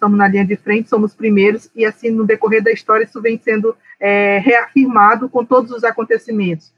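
A woman speaks at a fairly quick pace with hardly any pauses, her fairly high pitch held in a monotone, flat intonation. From Brazilian Amazon, Alto Solimões. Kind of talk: interview conversation.

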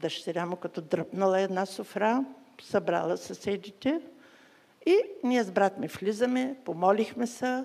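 Intonation stays lively while the speech unfolds at a very slow pace in a dark, mellow tone. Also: woman, medium pitch for a woman. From Bulgaria, Burgas. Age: 80s+. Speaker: guest preacher. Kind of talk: sermon with testimony.

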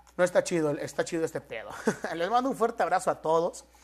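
In a Mexican accent, a man speaks fairly quickly in an animated tone with lively intonation. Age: 20s. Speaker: podcaster. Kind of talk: casual solo podcast monologue. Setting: at home in his apartment.

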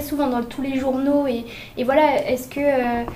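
A woman with a high pitch speaks at a moderate pace in a monotone, flat way. Noticeable background noise sits behind her. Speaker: student radio host. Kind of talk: student radio show hosting. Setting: studio.

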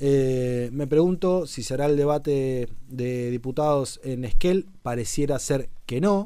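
Very slow yet with hardly any pauses, a man talks in a fairly high, dark, mellow voice with ordinary pitch variation. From Argentina, Chubut (Puerto Madryn). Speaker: political commentator and show host. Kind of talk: casual political commentary on a livestream.

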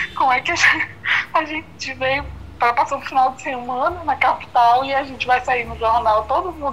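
Over noticeable background noise, a high-pitched woman talks with ordinary pitch variation. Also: moderate pace, big swings in loudness. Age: 20s. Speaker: interviewee sharing personal story. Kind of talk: interview.

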